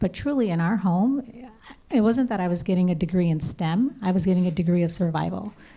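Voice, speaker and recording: A woman with an American accent speaks at a fairly quick pace with lively intonation. Her tone is dark and mellow, and her loudness stays very even. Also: medium pitch for a woman. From US East Coast, Maryland. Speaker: tech startup founder and CEO. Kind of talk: panel discussion. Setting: stage with audience.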